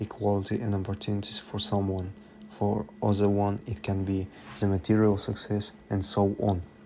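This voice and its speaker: With a non-native accent, a man speaks at a fairly quick pace in a fairly low, monotone, flat voice. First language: not English. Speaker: student. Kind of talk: student presentation narration. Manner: unpolished diction.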